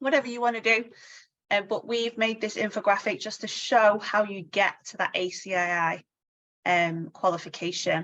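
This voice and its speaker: A woman with a Manchester accent talks at a moderate pace in a fairly high pitch, her pitch varying in an ordinary way while her loudness swings widely. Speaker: insurance training coach. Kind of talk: webinar presentation. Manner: casual, many fillers.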